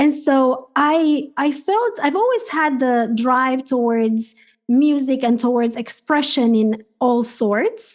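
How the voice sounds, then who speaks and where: A woman's high voice at a very slow pace, with hardly any pauses, very even loudness and ordinary pitch variation. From Romania. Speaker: life and health coach. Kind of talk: podcast interview.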